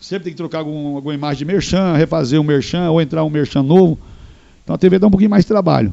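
The man talks at a very fast pace. His pitch variation is ordinary. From northern Paraná, Brazil. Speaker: radio host and TV presenter. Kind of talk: casual interview chat.

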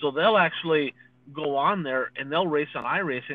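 The pace is fairly quick. It is an unremarkable speaking voice. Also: man. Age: 40s. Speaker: dirt racing podcast co-host, former racer. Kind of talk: casual chat.

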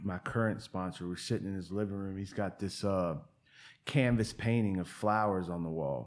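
On a very clean recording with a silent background, a man with an American accent speaks in a very deep, low pitch with ordinary pitch variation. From Virginia, Portsmouth near Virginia Beach. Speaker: person in addiction recovery. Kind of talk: casual interview conversation.

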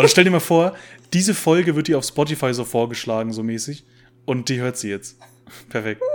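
The pace is fairly quick, with long, frequent pauses. The intonation is lively. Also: man, medium pitch for a man. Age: 20s. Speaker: podcast co-host. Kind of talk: casual chat. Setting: video call.

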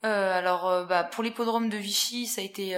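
A woman's medium-pitched voice keeps a fairly even intonation and a moderate pace. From central France (Haute-Loire, Puy-de-Dôme). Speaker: events sales assistant. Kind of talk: interview. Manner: hesitant, many fillers.

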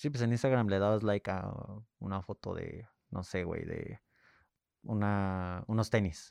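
A man speaks at a fairly slow pace with long, frequent pauses and fairly even intonation. His pitch is fairly low, and the background is quiet. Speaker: podcast co-host. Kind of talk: casual chat.

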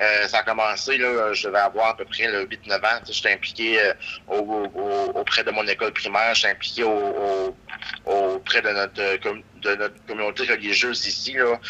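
Against noticeable background noise, a man talks with a fairly low pitch in a monotone, flat intonation. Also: moderate pace. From Quebec, Gaspésie. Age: 20s. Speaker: local politician. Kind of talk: interview. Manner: halting, many repetitions.

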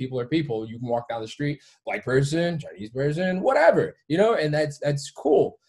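A man with an American accent speaks at a moderate pace in a fairly high pitch, somewhat breathy. His loudness swings widely, his pitch varies in an ordinary way, and he hardly pauses at all. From Detroit area, Michigan. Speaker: gym owner and fitness coach. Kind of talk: casual chat.

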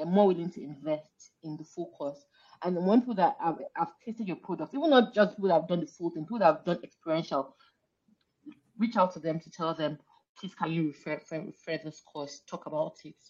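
A woman with a fairly low pitch talks at a very fast pace, her pitch varying ordinarily and her loudness swinging widely. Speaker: author and purpose coach. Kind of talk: casual chat.

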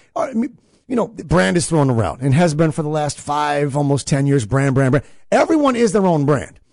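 At a moderate pace, a man with a fairly high pitch and an unremarkable speaking voice talks with lively intonation. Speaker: podcast host. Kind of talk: casual podcast chat.

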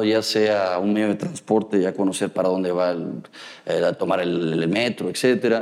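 This man's dark, mellow tone comes through at a fairly slow pace, with ordinary pitch variation. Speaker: biomedical engineer and university lecturer. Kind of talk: interview. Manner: halting, frequent repetitions and fillers.

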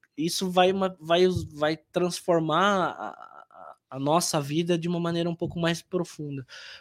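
A man speaks fairly slowly at a high pitch, with hardly any pauses and fairly even intonation. The recording is very clean, with a silent background. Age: 30s. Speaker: IT business development manager. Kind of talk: interview.

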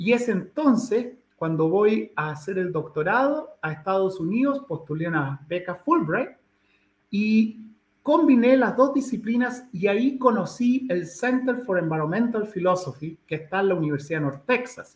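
A man speaks at a fairly slow pace in a high voice. His pitch swings very widely. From Chile, Santiago. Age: 60s. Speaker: ecologist and professor. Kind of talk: interview.

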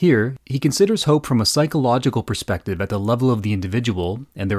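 An ordinary speaking voice from a man at medium pitch, with lively intonation, a fairly quick pace, a very clean recording with a silent background, and a dry, close sound with no echo. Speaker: podcast co-host. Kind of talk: podcast interview.

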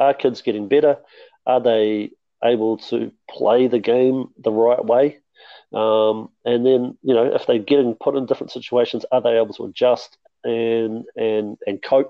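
A man speaks with a New Zealand accent at a medium pitch. His delivery is fairly slow, with monotone, flat intonation. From New Zealand, Mount Maunganui. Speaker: basketball development officer and coach. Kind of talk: podcast interview.

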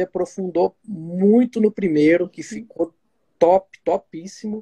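Dry and close with no echo, the recording captures a man speaking high in pitch with a dark, mellow tone. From Minas Gerais, Brazil. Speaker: proctologist and podcast host. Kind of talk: live stream interview. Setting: online live stream.

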